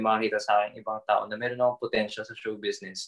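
At a very fast pace, a man is talking. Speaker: podcast co-host and TikToker. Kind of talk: casual chat.

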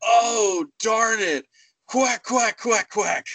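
The voice is a put-on character voice. It belongs to a man and sits at a high pitch. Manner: bad impression, comical.

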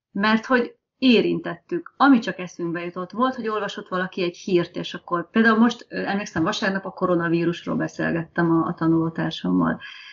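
A woman talks at a fairly quick pace with hardly any pauses, medium pitch, ordinary pitch variation, vocal fry, and big swings in loudness. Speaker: test engineer, language learner. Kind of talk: casual interview.

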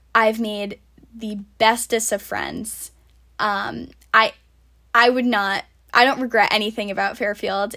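A woman with an American accent, a bright, sharp tone and a fairly high pitch, speaking at a fairly slow pace in monotone, flat intonation. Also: long, frequent pauses, very clean recording, silent background. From US Northeast, Rhode Island. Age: 20s. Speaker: podcast host, college student. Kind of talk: casual solo podcast monologue. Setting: home, recording at summer house.

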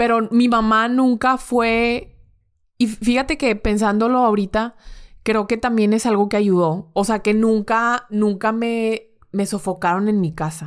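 Over a very clean recording with a silent background, a woman with an unremarkable speaking voice talks at a fairly slow pace in a fairly high pitch, her intonation fairly even and her loudness very even. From Monterrey, northern Mexico. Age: 20s. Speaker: bank currency trader. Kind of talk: casual interview chat.

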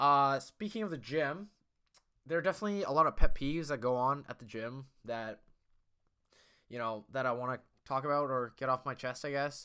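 In a very clean recording with a silent background, a loud, fairly high-pitched man talks at a fairly quick pace with ordinary pitch variation and long, frequent pauses. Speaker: podcast host. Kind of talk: casual solo monologue. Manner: rambling, filler-heavy, self-deprecating.

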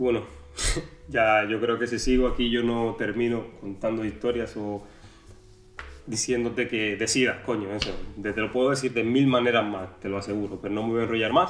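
The speech moves at a moderate pace with fairly even intonation. Room echo is audible. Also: man, medium pitch for a man. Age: 20s. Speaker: podcaster. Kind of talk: casual monologue.

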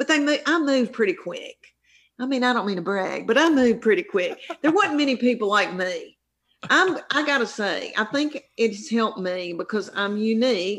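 The speech moves at a moderate pace with very wide pitch swings. It comes in a strong Southern US accent. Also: woman, high pitch for a woman. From US South. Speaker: stand-up comedian. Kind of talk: casual interview chat.

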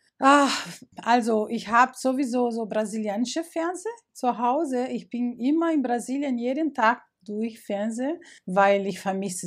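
A woman's fairly high voice with a Portuguese accent, very wide pitch swings, and a fairly slow pace. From Brazil, Rio de Janeiro. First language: Portuguese (speaking German). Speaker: migrant interviewee. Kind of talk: interview. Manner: halting, with hesitations.

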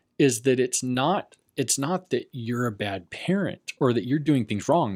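With an American accent and a normal speaking voice, a man of medium pitch speaks at a fairly slow pace with lively intonation, the sound dry and close with no echo in a very clean recording with a silent background. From Las Vegas, Nevada. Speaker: podcast co-host, therapist. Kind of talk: casual chat.

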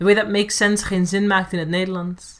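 The speech comes at a fairly quick pace with a Dutch accent. The recording is very clean, with a silent background. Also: woman. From Netherlands, Amsterdam. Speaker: performance poet. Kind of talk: casual chat.

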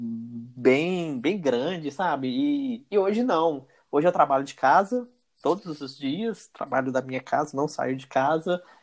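Captured on a very clean recording with a silent background, a man speaks with ordinary pitch variation. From Brazil, interior of Minas Gerais. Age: 30s. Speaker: electrical engineer. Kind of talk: interview. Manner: halting, many fillers.

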